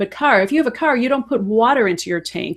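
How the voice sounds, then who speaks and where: Her pitch shows ordinary variation as a woman speaks on a very clean recording with a silent background. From Chicago, US Midwest. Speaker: health and fitness coach. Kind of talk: casual chat.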